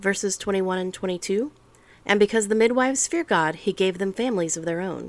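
Fairly quick in pace, a woman speaks at a medium pitch with ordinary pitch variation and an unremarkable speaking voice. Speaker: podcast host reading the Bible. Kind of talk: scripture audiobook reading.

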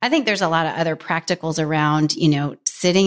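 This woman has an ordinary speaking voice, fairly low in pitch, moving at a fairly quick pace with fairly even intonation on a very clean recording with a silent background. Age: 40s. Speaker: author. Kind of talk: casual chat. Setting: studio.

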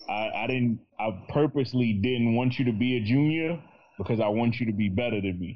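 Speaking in a New York accent, a man keeps to a medium pitch with ordinary pitch variation. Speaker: podcaster. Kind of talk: casual chat.

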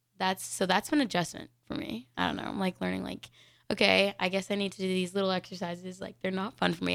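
The speech has a Mountain West accent and a fairly quick pace. It is a very clean recording with a silent background. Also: woman. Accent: general American, Mountain West. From Denver, Colorado. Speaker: college gymnast and radio co-host. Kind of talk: casual chat. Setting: live radio studio show.

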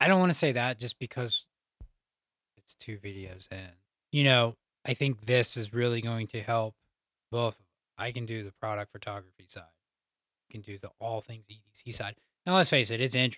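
At a moderate pace, a man speaks in a medium pitch. He leaves long, frequent pauses. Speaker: podcast host. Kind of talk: casual banter between co-hosts. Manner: monotone.

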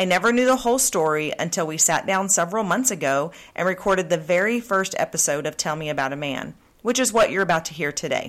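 A woman with an American accent, very fast and lively in intonation, on a very clean recording with a silent background. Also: fairly low pitch for a woman. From Oklahoma. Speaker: podcast host. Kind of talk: casual interview chat.

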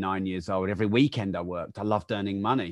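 A man talks very fast in an English accent at a fairly low pitch. The background is quiet. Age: 40s. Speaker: entrepreneur and author. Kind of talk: interview.

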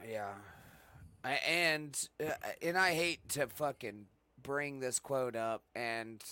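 A man's bright, sharp tone at a very slow pace, dry and close with no echo. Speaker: streamer prank caller. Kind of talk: casual chat.

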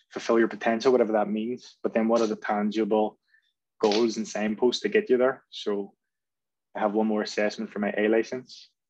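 Speaking fairly quickly in a Belfast accent, this voice keeps a monotone, flat intonation over a quiet background. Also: man. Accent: Belfast Northern Irish. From Northern Ireland, North Belfast. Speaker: football coach. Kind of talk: podcast interview. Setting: video call.

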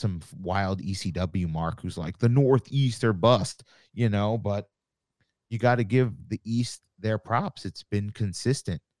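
An unremarkable speaking voice: a man with an American accent, fairly low in pitch, at a fairly slow pace with ordinary pitch variation, in a dry, close sound with no echo. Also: very clean recording, silent background. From Long Island, New York. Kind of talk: casual interview chat.

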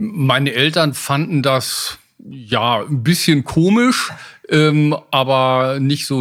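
On a very clean recording with a silent background, a man speaks at a fairly high pitch with ordinary pitch variation and very even loudness. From western Germany (Westphalia). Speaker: aviation expert. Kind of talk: interview conversation. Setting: in-person recording in a room in Hamburg.

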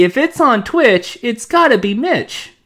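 Using a put-on character voice, a female-sounding speaker talks at a high pitch and a fairly slow pace. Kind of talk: promo, marketing. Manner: punchy, catchphrase delivery.

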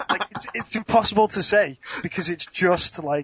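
This voice carries an English accent. It moves along at a moderate speed. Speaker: speedcuber. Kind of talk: casual chat. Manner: animated.

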